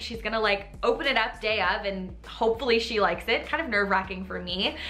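Faint background music runs throughout. Over it, a woman talks. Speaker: home decor host. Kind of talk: casual vlog explanation. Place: home room.

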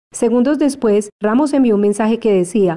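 A woman speaks at a fairly high pitch with a dark, mellow tone. Her pace is fairly quick, with ordinary pitch variation. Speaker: news reporter. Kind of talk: newsreading, voiceover report narration. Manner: even, brisk, neutral and formal.

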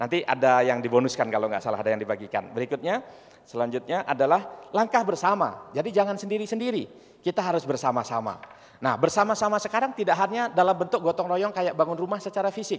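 Talking at a very fast pace, the man uses a high pitch that swings very widely. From Indonesia, farming family. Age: 40s. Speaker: entrepreneur and university founder; speaker. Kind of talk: presentation with slides. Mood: cheerful, smiling. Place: hall. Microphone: handheld.

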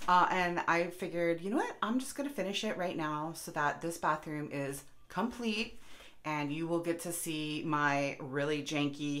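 A woman's voice with ordinary pitch variation. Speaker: home vlogger. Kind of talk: casual vlog chat. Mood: self-deprecating, candid. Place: bathroom. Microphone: phone near.

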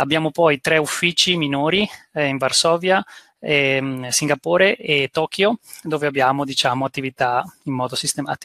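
Against a quiet background with a dry sound and no echo, a man with a fairly high pitch speaks in a bright, sharp tone at a moderate pace with ordinary pitch variation. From Italy. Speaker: business school executive; guest. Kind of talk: presentation. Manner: halting, many fillers. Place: home room. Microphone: headset.

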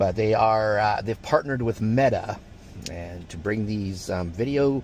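At a fairly slow pace, a man speaks with lively intonation in a dry sound without echo, light background noise behind him. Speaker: vlogger. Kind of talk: casual vlog chat. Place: car.

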